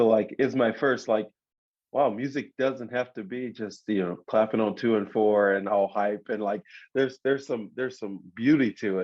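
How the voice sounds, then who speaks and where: With an ordinary speaking voice, a man talks at a medium pitch and a moderate pace with fairly even intonation. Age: 30s. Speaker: worship leader and singer. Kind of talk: casual chat.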